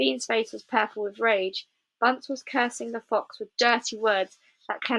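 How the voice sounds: A natural reading voice with ordinary pitch variation sounds against a quiet background.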